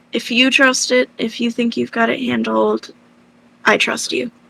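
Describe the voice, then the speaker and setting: A put-on character voice, female-sounding and raspy, moves along at a moderate pace. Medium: actual play. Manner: quiet, hesitant.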